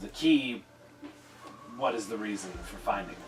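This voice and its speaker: Over clear background music, a man at a medium pitch does a raspy, put-on character voice at a moderate pace. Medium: actual play. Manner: gruff.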